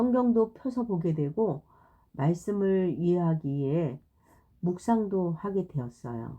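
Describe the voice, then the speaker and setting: A woman speaks at a very slow pace in a fairly low pitch with a dark, mellow tone. Her voice moves in very wide pitch swings. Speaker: Bible storyteller for children. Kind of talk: reading aloud. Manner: halting.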